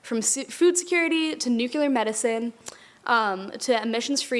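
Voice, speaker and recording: A plain, everyday voice with lively intonation. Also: woman. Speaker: university student intern. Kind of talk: prepared speech.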